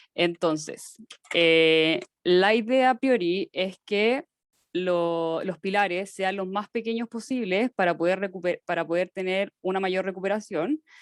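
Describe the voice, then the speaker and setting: A woman talks in an ordinary speaking voice at a medium pitch and a fairly slow pace, with ordinary pitch variation and a dry, close sound with no echo. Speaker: teaching assistant. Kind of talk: lecture.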